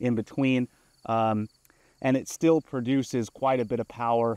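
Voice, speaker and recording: Against a quiet background, a man talks at a moderate pace with fairly even intonation, the sound dry with no echo. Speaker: product reviewer. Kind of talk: product review demo. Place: open country.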